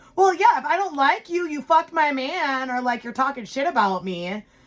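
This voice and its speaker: Loud and animated, a woman with a high voice and lively intonation talks at a fairly quick pace over noticeable background noise. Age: 30s. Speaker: podcast co-host. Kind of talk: casual chat.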